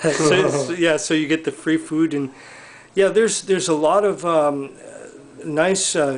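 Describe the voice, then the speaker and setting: With an unremarkable speaking voice, a man talks at a moderate pace, his fairly high pitch held in fairly even intonation. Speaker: interviewer for a devotee community video series. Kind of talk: casual interview questions to camera. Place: home room. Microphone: camera far.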